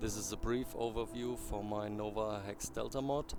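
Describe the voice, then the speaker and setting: A non-native accent at a moderate pace, with audible room echo and music in the background. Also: man. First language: not English. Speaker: game modder. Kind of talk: tutorial. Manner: halting.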